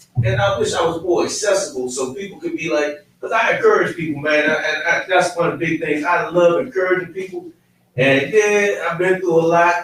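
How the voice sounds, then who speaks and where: Loud and high-pitched, a man talks at a fairly quick pace. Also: ordinary pitch variation. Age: 50s. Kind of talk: casual chat.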